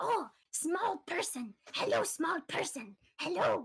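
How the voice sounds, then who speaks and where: A squeaky, put-on character voice in an excited tone hits an extremely high pitch with very wide pitch swings at a fairly slow pace. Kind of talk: simple, childlike phrasing. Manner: chirpy, excited, broken speech.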